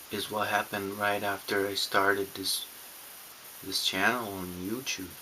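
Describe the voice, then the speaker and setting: At a moderate pace, a man with a non-native accent talks in a fairly low pitch, his intonation monotone and flat. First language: not English. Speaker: YouTuber on narcissistic abuse recovery. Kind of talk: personal vlog monologue. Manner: halting, many restarts and fillers.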